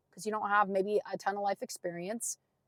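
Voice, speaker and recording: The delivery is animated, and the sound is dry and close with no echo. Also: woman. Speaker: podcast host, entrepreneur. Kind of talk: motivational podcast monologue.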